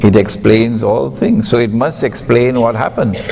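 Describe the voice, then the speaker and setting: A man speaks at a fairly low pitch with ordinary pitch variation. The room echo is audible, and background noise is noticeable. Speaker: Islamic scholar. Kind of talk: lecture. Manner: emphatic.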